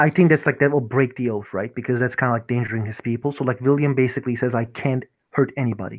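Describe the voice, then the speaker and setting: A man talks with a non-native accent. His pace is very fast. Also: medium pitch for a man, fairly even intonation. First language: not English. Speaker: tabletop roleplay player. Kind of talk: tabletop roleplay session. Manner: halting, many fillers.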